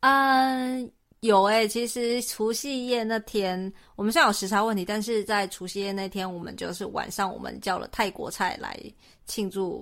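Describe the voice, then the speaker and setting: Talking at a moderate pace, a woman has an ordinary speaking voice and ordinary pitch variation. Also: fairly high pitch for a woman. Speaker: podcast co-host. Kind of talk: casual chat.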